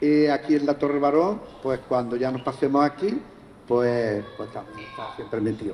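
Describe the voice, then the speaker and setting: Through noticeable background noise, a man speaks at a moderate pace with a fairly high pitch and ordinary pitch variation. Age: 80s+. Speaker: longtime neighbourhood association member. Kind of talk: live podcast interview.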